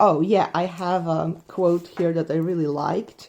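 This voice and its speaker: Very slow in pace, the voice has a dark, mellow tone in a Polish accent. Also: woman. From Poland. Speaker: book reviewer, witchcraft content creator. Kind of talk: casual book review. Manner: hesitant, with many fillers.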